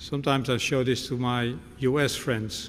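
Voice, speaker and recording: There is light background noise as a man talks. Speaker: visiting lecturer. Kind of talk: lecture. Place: hall. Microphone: podium.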